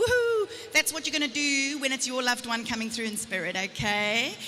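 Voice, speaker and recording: Over noticeable background noise, a woman with a South African accent projects a raised, high voice at a fairly quick pace with lively intonation. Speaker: psychic medium. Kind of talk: live stage reading. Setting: stage with audience. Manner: fast.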